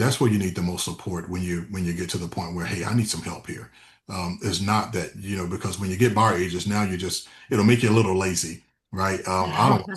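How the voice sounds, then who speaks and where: Somewhat breathy speech at a fairly quick pace, with an American accent. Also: man, very deep, low pitch for a man. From West Tennessee, Memphis area. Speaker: real estate team leader. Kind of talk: interview. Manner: frequent fillers and self-repetition.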